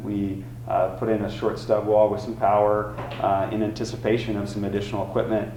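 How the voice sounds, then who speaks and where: A man with a fairly low pitch speaks amid noticeable background noise and audible room echo. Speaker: college automotive instructor. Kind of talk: presentation. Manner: many filler words.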